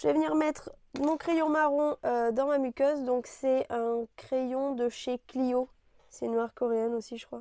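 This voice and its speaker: A soft-spoken woman's high voice with a dark, mellow tone, ordinary pitch variation and a fairly slow pace. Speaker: beauty youtuber. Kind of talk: makeup tutorial chat. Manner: casual, halting with fillers.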